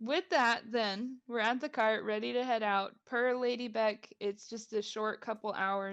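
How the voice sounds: The speaker reads aloud in a natural voice.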